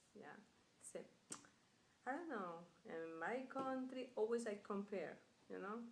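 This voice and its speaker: Heard with audible room echo, a woman speaks at a fairly slow pace. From Colombia. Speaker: immigrant worker. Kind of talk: interview. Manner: halting.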